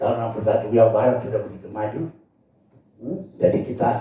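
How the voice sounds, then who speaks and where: Speaking fairly quickly at a medium pitch with ordinary pitch variation, a man is heard over noticeable background noise and audible room echo. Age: 70s. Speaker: provincial governor. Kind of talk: official speech. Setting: meeting room. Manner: unscripted, loose.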